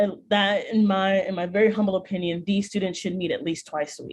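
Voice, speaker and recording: A woman speaks with an American accent at a medium pitch. Her voice is somewhat breathy. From US Midwest, Chicago. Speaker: speech and debate coach. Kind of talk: workshop presentation. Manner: many vocal fillers.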